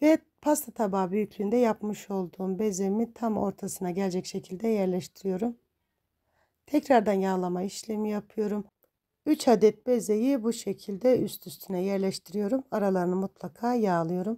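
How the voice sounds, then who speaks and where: In a very clean recording with a silent background and a dry, close sound with no echo, a woman of medium pitch speaks at a moderate pace in a dark, mellow tone with ordinary pitch variation. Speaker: cooking channel host. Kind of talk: voice-over tutorial.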